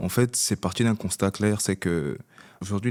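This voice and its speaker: At a moderate pace and with fairly even intonation, the voice comes through in a very clean recording with a silent background. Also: man. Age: 20s. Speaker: podcast co-host. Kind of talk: casual chat.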